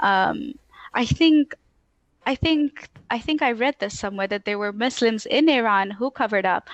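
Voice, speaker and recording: A woman with an American accent speaks at a moderate pace and a fairly high pitch, with lively intonation, long, frequent pauses and a dry, close sound with no echo against a quiet background. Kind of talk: casual interview chat.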